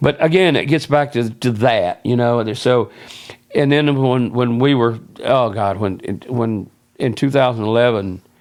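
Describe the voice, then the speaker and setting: This man has a Southern US accent. The rise and fall of his pitch is ordinary. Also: medium pitch for a man, moderate pace. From South Carolina (Loris, near Myrtle Beach). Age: 70s. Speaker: former radio man and band associate. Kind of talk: podcast interview, storytelling. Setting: filmed at a fan club and museum. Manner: rambling, self-interrupting with false starts.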